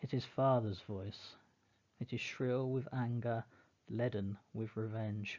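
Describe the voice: Fairly even intonation in plain reading aloud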